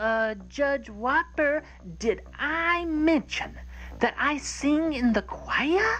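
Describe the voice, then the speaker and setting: Over clear background noise, a female-sounding cartoonish character voice speaks at a very slow pace. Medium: puppet.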